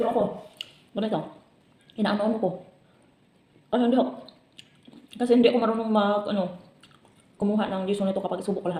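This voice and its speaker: Over noticeable background noise, the speech runs at a very fast pace broken by long, frequent pauses. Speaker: vlogger. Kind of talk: casual vlog while eating. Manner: chatty, talking with mouth full.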